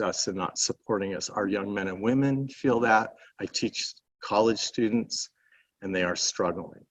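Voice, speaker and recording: An ordinary speaking voice moves at a moderate pace with ordinary pitch variation, the sound dry and close with no echo. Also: man. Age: 60s. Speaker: panel speaker, college teacher. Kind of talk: panel talk.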